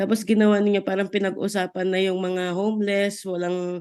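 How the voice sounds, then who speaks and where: A woman's medium-pitched, monotone, flat delivery at a fairly slow pace against a quiet background. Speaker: Bible study participant. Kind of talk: testimony.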